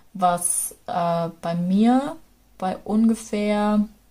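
A woman with a dark, mellow tone and a somewhat breathy voice speaks at a medium pitch with ordinary pitch variation, in a very clean recording with a silent background. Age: 20s. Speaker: travel storyteller, local radio presenter. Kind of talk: casual travel narration.

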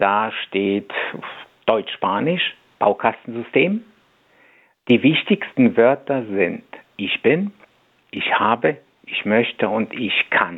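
A man's medium-pitched voice at a very slow pace, with long, frequent pauses and lively intonation. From Poland (Masuria), moved to Germany at ten. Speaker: language coach. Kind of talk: radio interview. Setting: radio studio.

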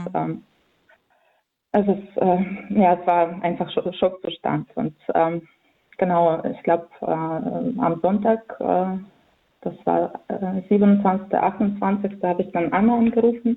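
Very slow pace from a woman at medium pitch, with fairly even intonation and long, frequent pauses. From central Ukraine (Vinnytsia). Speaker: volunteer aid organizer. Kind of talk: phone interview. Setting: phone call. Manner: halting, many fillers.

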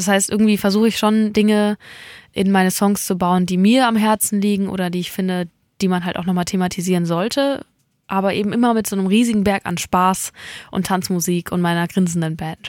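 A woman talks at a fairly quick pace in a normal speaking voice, medium in pitch and fairly even in intonation, on a very clean recording with a silent background. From mountain region. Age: 20s. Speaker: singer-songwriter. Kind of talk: interview. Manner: laughs often.

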